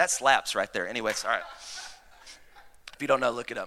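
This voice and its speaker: This man's tone is bright and sharp, and he talks with a Southern US accent. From US South. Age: 30s. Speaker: pastor. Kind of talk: Sunday sermon, a preacher in full flow rallying the congregation to shout back. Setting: church with live congregation. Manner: rapid, repetitive and stumbling with excitement, restarting phrases.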